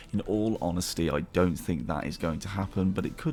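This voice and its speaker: A man with a British accent speaks at a fairly quick pace in a very deep, low voice. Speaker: gaming YouTuber. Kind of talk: gaming commentary. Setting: home recording late at night. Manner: quieter, softer than usual.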